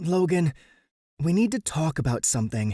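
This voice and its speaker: A man's put-on character voice, fairly high in pitch, with very wide pitch swings. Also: dry, close sound with no echo, very clean recording, silent background. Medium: read story. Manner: clipped, tense.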